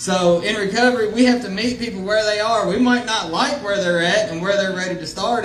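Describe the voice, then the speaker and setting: A man speaks loudly at a fairly quick pace with ordinary pitch variation, over noticeable background noise and audible room echo. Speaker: recovery counselor. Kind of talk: public speech.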